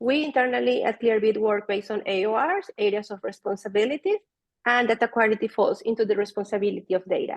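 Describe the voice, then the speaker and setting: A woman with a Spanish accent talks at a very fast pace, fairly high in pitch, with fairly even intonation. Her voice sounds dry and close, with no echo. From Venezuela. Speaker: data product manager. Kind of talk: conference talk.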